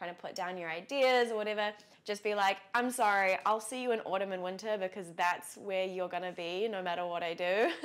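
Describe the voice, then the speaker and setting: A New Zealand accent at a fairly quick pace, with fairly even intonation, on a very clean recording with a silent background. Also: woman. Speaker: lifestyle vlogger. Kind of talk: casual vlog talk to camera. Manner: chatty, many fillers.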